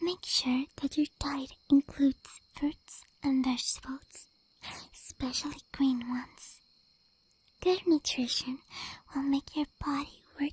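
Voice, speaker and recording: A soft-spoken woman's high voice, very slow and fairly even in intonation, with long, frequent pauses and a dry, close sound with no echo. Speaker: ASMR vtuber. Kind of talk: ASMR sleep advice talk. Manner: soft-spoken or whispered.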